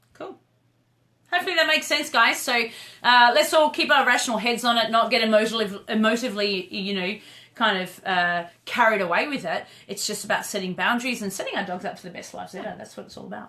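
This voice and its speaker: Fairly high-pitched, a woman talks at a very fast pace in an Australian accent. Her intonation is lively, with big swings in loudness. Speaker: dog trainer and live show host. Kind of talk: casual chat on a live video stream. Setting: live video stream. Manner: animated.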